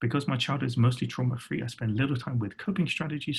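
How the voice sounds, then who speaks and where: A man talks with a British accent and ordinary pitch variation. His voice is somewhat breathy. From England. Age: 40s. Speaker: design workshop facilitator. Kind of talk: workshop presentation.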